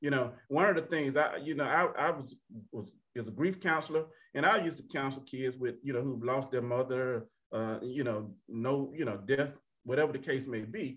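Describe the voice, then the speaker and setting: This voice has an Alabama accent. The pace is moderate. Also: man, medium pitch for a man, ordinary pitch variation. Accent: US Southern (Alabama). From Alabama (Tuskegee). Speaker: panelist. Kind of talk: panel discussion. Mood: earnest, personal. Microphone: video call.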